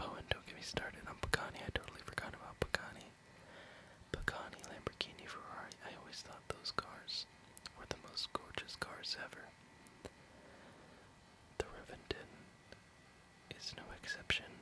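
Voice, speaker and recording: Whispering broken by long, frequent pauses, with noticeable background noise. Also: moderate pace. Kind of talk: ASMR Hot Wheels collection review, casual talk to camera. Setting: studio, close microphone. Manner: whispered, soft-spoken.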